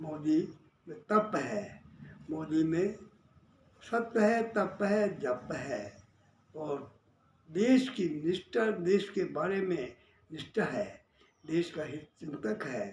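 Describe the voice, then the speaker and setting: A man's high-pitched voice with lively intonation and long, frequent pauses. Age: 80s+. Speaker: social worker and labour-farmer leader. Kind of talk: political monologue. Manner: repetitive, emphatic.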